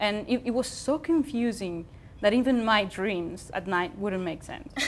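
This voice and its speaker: A woman's voice with a Spanish accent and ordinary pitch variation. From Spain. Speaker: TV show co-host. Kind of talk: casual chat. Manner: halting.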